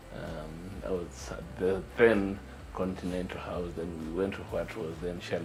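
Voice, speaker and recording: Music plays in the background. A man speaks at a very deep, low pitch with ordinary pitch variation. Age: 60s. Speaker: urologist and entrepreneur. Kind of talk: interview answer.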